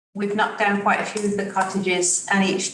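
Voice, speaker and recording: A woman speaks with audible room echo around her voice. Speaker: commission member. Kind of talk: public meeting question. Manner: soft-spoken.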